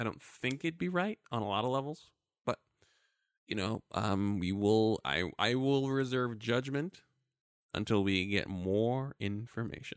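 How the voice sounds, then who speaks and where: A very clean recording with a silent background captures a man in a plain, everyday voice with an American accent, medium in pitch with lively intonation, at a fairly slow pace, in a dry, close sound with no echo. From Brooklyn, New York. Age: 30s. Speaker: podcast co-host. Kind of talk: casual chat.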